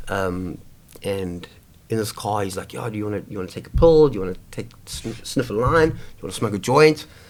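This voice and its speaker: Speaking at a moderate pace, a man with a medium-pitched voice talks with a South African accent. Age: 20s. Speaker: homeless man sharing life story. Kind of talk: casual interview conversation. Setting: over coffee. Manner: halting, many fillers and restarts.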